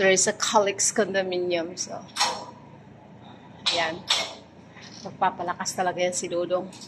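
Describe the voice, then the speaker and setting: A soft-spoken woman talks at a medium pitch with monotone, flat intonation. Her pace is moderate, broken by long, frequent pauses. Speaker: vlogger. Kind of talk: casual vlog chat. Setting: condo gym. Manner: soft-spoken, lowered voice.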